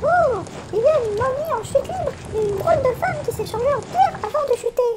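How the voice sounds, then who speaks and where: A woman uses a put-on character voice that is squeaky and extremely high in pitch. She speaks at a fairly quick pace with lively intonation. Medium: audio drama.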